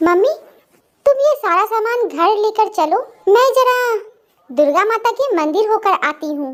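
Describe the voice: Using a cartoonish character voice at an extremely high pitch, a woman speaks at a fairly slow pace with very wide pitch swings.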